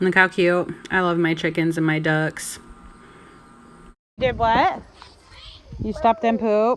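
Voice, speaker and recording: Music plays behind a woman talking at a very slow pace, with long, frequent pauses. Her pitch is medium, with ordinary variation. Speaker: stay-at-home mom vlogger. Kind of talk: casual vlog voiceover.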